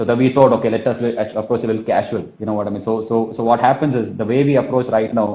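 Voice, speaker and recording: In a Kerala accent, a man speaks at a very fast pace with a medium pitch. His tone is dark and mellow, and his intonation fairly even. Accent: Malayali. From Kerala, India. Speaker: sales trainer, business owner. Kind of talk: talk on telesales in live interview. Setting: live online session. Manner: fast, repetitive with verbal fillers.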